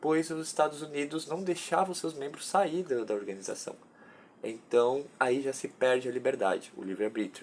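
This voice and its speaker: The intonation here is lively. An unremarkable speaking voice keeps a moderate pace. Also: man, fairly high pitch for a man. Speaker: undergraduate student researcher. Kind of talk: research presentation.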